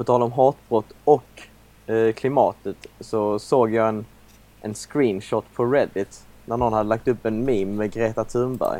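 A man's unremarkable speaking voice, fairly slow, at a medium pitch with fairly even intonation. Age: 20s. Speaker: podcast co-host. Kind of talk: casual chat.

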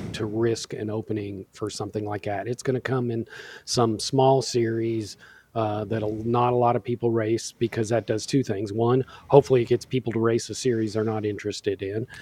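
Somewhat breathy and dark, mellow in tone, a man speaks at a fairly quick pace in a monotone, flat intonation, with a dry, close sound and no echo. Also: medium pitch for a man. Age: middle-aged. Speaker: sim racer. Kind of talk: casual chat.

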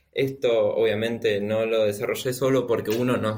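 The man speaks at a fairly slow pace. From Argentina. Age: 20s. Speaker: software developer. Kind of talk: interview.

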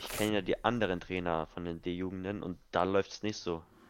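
A man talks with monotone, flat intonation. His pitch is very deep and low. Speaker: podcast co-host, youth football coach. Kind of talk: casual chat.

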